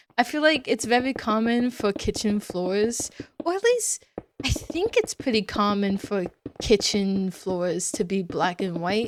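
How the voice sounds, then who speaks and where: This woman has a plain, everyday voice with a fairly high pitch. She speaks at a fairly slow pace with lively intonation. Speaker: Minecraft let's play creator. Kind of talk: casual gameplay commentary. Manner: casual with many fillers.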